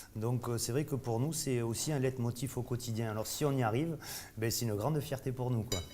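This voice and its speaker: A man with a Bordeaux accent has a medium-pitched, somewhat breathy voice with a dark, mellow tone. His loudness stays very even. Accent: Bordeaux accent, kept. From Bordeaux, southwest France. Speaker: chef. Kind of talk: casual interview during tasting. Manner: halting, many fillers.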